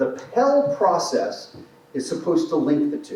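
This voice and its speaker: Loud and very slow, a man speaks with very wide pitch swings amid noticeable background noise and audible room echo. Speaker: transportation project presenter. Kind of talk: public meeting presentation. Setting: in-person meeting room.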